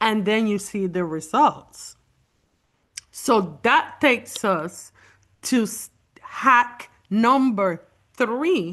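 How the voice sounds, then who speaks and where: A woman speaks at a very slow pace in a fairly high voice, with a non-native accent. Her intonation is lively, broken by long, frequent pauses. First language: not English. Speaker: beauty consultant presenter. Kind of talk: online beauty class.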